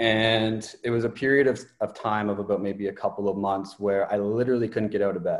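A plain, everyday voice from a man with a Canadian accent, medium pitch and fairly even intonation. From Ontario, Canada. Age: 20s. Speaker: mindset coach. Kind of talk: interview.

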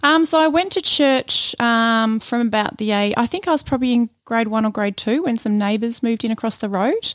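A woman's fairly quick speech with an Australian accent and ordinary pitch variation, on a very clean recording with a silent background. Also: fairly high pitch for a woman, hardly any pauses. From Melbourne, Australia. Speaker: church member. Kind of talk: interview, personal testimony. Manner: halting.

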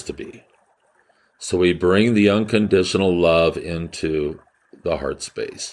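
A man with an ordinary speaking voice talks at a fairly slow pace and a fairly low pitch. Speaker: healer and spiritual podcast host. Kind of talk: guided meditation; spiritual talk or monologue. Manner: slow, calm, soothing, gently instructive.

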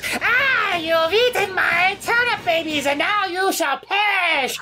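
Over clear background noise, a female-sounding put-on character voice pitched extremely high for a woman talks at a fairly slow pace. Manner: angry, threatening.

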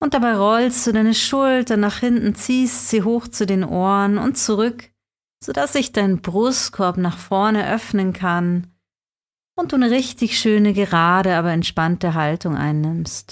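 A woman with an unremarkable speaking voice and medium pitch talks fairly slowly at a very even loudness, on a very clean recording with a silent background. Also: ordinary pitch variation. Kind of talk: guided meditation. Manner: soft-spoken, slow and soothing; gentle, calm, unhurried with long pauses.

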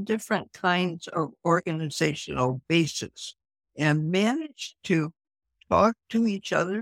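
Recorded dry and close with no echo, a woman speaks at a very slow pace, her pitch swinging very widely. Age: 80s+. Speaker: environmental activist. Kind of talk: casual chat.

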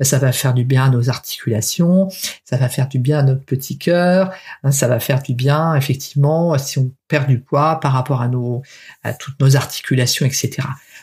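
Somewhat breathy and very deep, low in pitch, a woman speaks at a fairly quick pace with ordinary pitch variation. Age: 50s. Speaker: podcast host, weight-loss coach. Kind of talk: solo podcast monologue. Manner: hesitant, many fillers.

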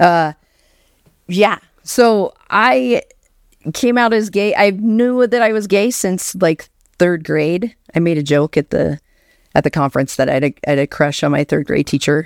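A woman with an American accent, fairly low pitch, lively intonation and a fairly slow pace, with long, frequent pauses, dry, close sound with no echo, and a very clean recording over a silent background. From Alaska, US. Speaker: children's book author. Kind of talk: casual chat.

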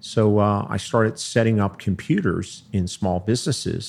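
Using a normal speaking voice, a man with an American accent talks at a fairly low pitch with ordinary pitch variation. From Philadelphia. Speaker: accountant and tax advisor. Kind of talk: interview.

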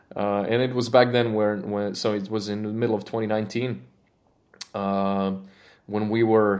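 A man with a Croatian accent speaks at a fairly low pitch and moderate pace, his intonation monotone and flat. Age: 30s. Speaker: engineering manager. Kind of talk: casual interview. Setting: studio. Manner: halting.

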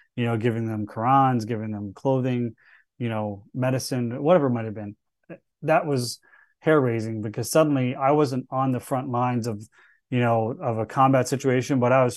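This man has an American accent and an ordinary speaking voice at medium pitch. He talks at a fairly quick pace with fairly even intonation over a quiet background. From US South, Charleston, South Carolina. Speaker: Marine veteran and cybersecurity executive. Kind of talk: interview conversation.

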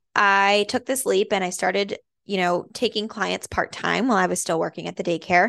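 A woman with an American accent and vocal fry speaks at a moderate pace with fairly even intonation over a quiet background. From Massachusetts, Andover. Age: 20s. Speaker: postpartum doula and podcast host. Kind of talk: casual monologue. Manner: chatty with many fillers.

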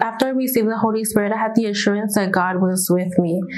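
A woman speaks at a medium pitch with fairly even intonation, her voice carrying audible room echo over noticeable background noise. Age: 20s. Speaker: church member giving testimony. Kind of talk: testimony.

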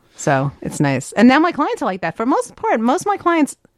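Here a woman is speaking. Her pace is moderate. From New York, US East Coast. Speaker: business consultant and author. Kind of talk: casual interview.

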